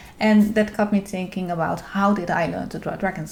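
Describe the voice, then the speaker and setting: A woman's medium-pitched voice moves fairly quickly while noticeable noise fills the background. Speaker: art YouTuber, dragon illustrator. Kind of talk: vlog-style talk to camera. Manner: halting, many fillers.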